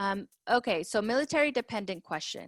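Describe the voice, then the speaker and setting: A woman with a Spanish accent, a fairly high pitch and lively intonation, in a very clean recording with a silent background and a dry, close sound with no echo. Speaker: school counselor. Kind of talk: tutorial. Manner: casual, conversational.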